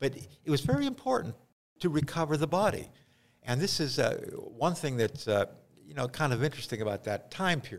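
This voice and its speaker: A fairly high-pitched man's voice in an American accent, with vocal fry and lively intonation, fairly quick but with long, frequent pauses. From western Pennsylvania. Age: 70s. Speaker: town historian and author. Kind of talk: interview. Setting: in person. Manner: halting.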